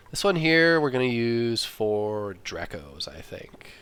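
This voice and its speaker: Against noticeable background noise, a man at medium pitch makes very wide pitch swings. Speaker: gaming video creator. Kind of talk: let's play commentary. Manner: halting, thinking aloud.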